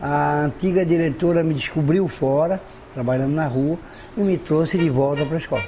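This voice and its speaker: Noticeable background noise sits behind a man with a fairly high pitch. He keeps a moderate pace, ordinary pitch variation and very even loudness. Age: 60s. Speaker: potter. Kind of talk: interview. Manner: halting.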